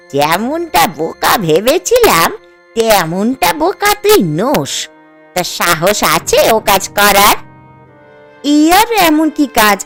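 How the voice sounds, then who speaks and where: A woman puts on a hoarse, croaky character voice at a fairly slow pace. Faint music plays in the background. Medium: cartoon. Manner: scolding, sarcastic, blunt.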